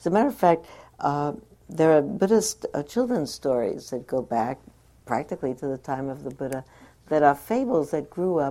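In a very clean recording with a silent background, a woman with an American accent speaks at a moderate pace, her very deep, low pitch and dark, mellow tone carried by lively intonation. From New York. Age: 60s. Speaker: meditation teacher. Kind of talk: dharma talk.

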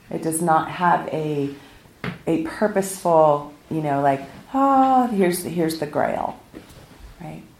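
With an American accent, a woman speaks at a fairly slow pace in a fairly low pitch, her intonation lively and broken by long, frequent pauses, amid audible room echo and noticeable background noise. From US West Coast, South Pasadena, California. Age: 50s. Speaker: meditation teacher. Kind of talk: dharma talk. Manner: casual and conversational.

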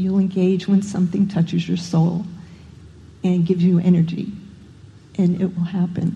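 With a dark, mellow tone, the speaker talks at a moderate pace in a somewhat breathy, monotone, flat delivery with very even loudness and long, frequent pauses. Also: woman. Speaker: meditation participant. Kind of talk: personal sharing. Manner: halting.

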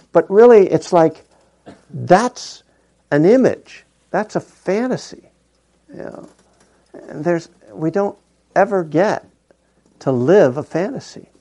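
With a dark, mellow tone and a high pitch, a man speaks at a fairly slow pace with lively intonation and long, frequent pauses. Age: old. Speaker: meditation teacher. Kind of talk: dharma talk. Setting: meditation hall with audience. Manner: casual and joking.

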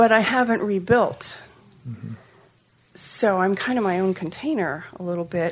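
Her pitch is medium and her intonation lively as this woman talks at a moderate pace. She takes long, frequent pauses. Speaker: retreat participant. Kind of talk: personal sharing.

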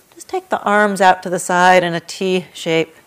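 A woman with a plain, everyday voice speaks at a medium pitch. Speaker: meditation and yoga teacher. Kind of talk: guided meditation. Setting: meditation hall with a group in person. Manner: slow, soft, calm and soothing with long pauses.

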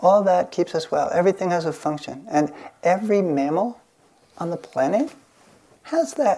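A woman's voice with a dark, mellow tone comes with long, frequent pauses. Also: fairly low pitch for a woman, lively intonation, moderate pace. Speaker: meditation teacher. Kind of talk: dharma talk with guided meditation. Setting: hall with microphone and audience. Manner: halting, with hesitations.

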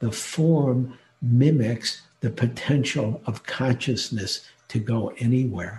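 Speaking very slowly, a man with an American accent has a medium pitch, ordinary pitch variation and a dark, mellow tone. His voice is somewhat breathy. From US Midwest, Detroit. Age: 70s. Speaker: meditation teacher. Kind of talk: dharma talk. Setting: online retreat talk.

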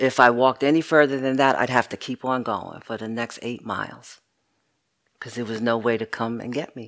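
The recording is very clean, with a silent background. The pace is moderate. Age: 60s. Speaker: meditation teacher. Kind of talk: dharma talk.

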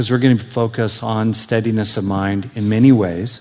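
A soft-spoken man talks at a medium pitch. Background noise is noticeable. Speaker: meditation teacher. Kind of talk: workshop lecture. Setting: live workshop with audience. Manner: mellow, soft.

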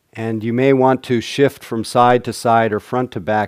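A man's medium-pitched voice, an ordinary speaking voice, with ordinary pitch variation and a dry, close sound with no echo. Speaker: meditation teacher. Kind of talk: guided meditation with dharma talk. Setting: meditation hall with live audience. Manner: warm, humorous, laughs often.

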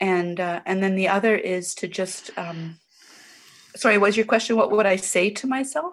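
An ordinary speaking voice: a woman at medium pitch and moderate pace, with ordinary pitch variation. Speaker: caregiver for dying mother. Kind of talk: Q&A question. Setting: webinar audio.

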